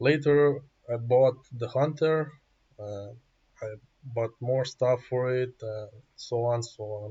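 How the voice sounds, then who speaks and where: In a somewhat breathy voice, a man speaks at a very slow pace with fairly even intonation. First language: not English. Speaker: gaming YouTuber. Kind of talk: gameplay tutorial. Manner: halting.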